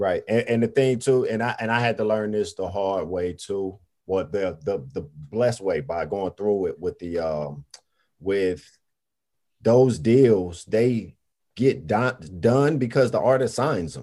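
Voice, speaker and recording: A man with an American accent speaks at a fairly slow pace and a fairly low pitch. His tone is dark and mellow, and his intonation is lively. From US South, Greensboro, North Carolina. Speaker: hip-hop artist and music entrepreneur. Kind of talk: casual chat.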